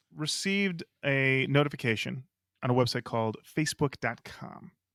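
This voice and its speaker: Medium in pitch, a man speaks with a bright, sharp tone. He goes at a fairly slow pace, and the sound is dry and close with no echo. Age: 40s. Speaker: podcast co-host. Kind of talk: casual chat. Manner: animated.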